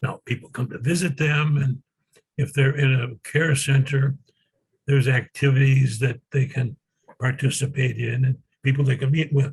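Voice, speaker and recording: Speaking at medium pitch with a somewhat breathy sound, a man keeps a moderate pace and a monotone, flat intonation. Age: 80s+. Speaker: retired sociology professor. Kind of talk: interview. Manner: halting with many fillers.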